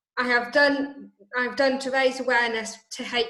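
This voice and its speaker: There is audible room echo as this woman talks. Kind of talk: presentation in an online meeting. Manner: halting, stuttering.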